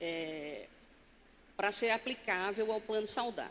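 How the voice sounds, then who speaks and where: The tone is bright and sharp. Pitch varies by an ordinary amount. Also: woman. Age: 60s. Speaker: pension fund board chair. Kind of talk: conference talk. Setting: stage with audience. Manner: standing, addressing audience directly.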